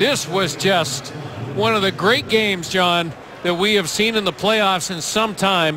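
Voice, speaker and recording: Over noticeable background noise, a man speaks in a raised, projected voice at a high pitch. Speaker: hockey color commentator. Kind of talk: live sports commentary. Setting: arena broadcast. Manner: animated.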